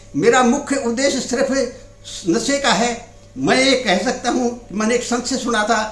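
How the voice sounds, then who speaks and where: In a room with audible echo and noticeable background noise, a man speaks at an extremely high pitch with ordinary pitch variation. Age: 70s. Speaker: anti-addiction activist. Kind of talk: interview monologue. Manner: halting.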